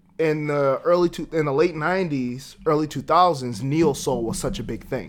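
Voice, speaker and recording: With an American accent, a man speaks at a moderate pace in an unremarkable speaking voice, pitched fairly high with ordinary pitch variation. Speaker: podcast host. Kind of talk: casual chat.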